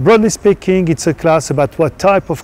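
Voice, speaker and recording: A man with a French accent speaks with ordinary pitch variation, the sound dry with no echo. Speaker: professor; university lecturer. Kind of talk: course introduction. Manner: non-native phrasing, some hesitation. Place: garden. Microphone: lapel.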